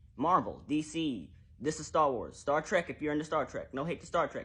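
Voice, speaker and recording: Over a quiet background, a somewhat breathy man talks at a fairly quick pace and a fairly high pitch. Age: 20s. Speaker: TikTok creator. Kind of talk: social media commentary. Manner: fast; animated.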